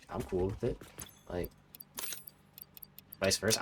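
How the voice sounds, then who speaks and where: Against noticeable background noise, a man with an American accent speaks at a very deep, low pitch. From US. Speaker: video game streamer. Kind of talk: gameplay livestream chat. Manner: casual, filler-heavy.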